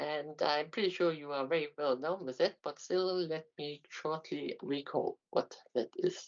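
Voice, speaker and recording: A German accent at a fairly slow pace. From Germany, Aachen. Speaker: university lecturer, mathematician. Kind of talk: lecture. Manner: halting, many fillers.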